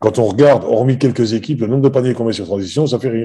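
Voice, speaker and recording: A man talks at a very fast pace in a medium pitch. His tone is dark and mellow against a quiet background. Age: 60s. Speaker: basketball coach. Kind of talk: interview. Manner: halting, many hesitations.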